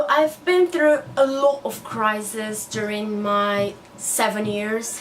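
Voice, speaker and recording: A woman with a Portuguese accent talks very slowly at a fairly high pitch, with noticeable background noise behind her. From Brazil. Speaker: newly qualified doctor and book vlogger. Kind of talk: casual vlog monologue.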